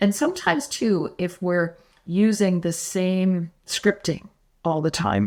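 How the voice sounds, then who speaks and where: A woman with an ordinary speaking voice talks at a fairly low pitch with fairly even intonation. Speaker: sales phone trainer. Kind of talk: podcast interview.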